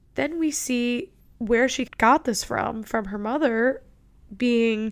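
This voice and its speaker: Very slow, fairly high-pitched speech from a woman in a very clean recording with a silent background. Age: 20s. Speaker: podcast host. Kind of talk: casual solo podcast monologue.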